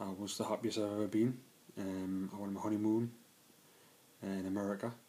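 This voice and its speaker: A man's fairly low voice stays monotone and flat as he talks fairly quickly. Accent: Geordie. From northern England, Newcastle area. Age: 20s. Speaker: trainee electrician sharing mental health story. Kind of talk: personal testimony vlog. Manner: hesitant, many fillers.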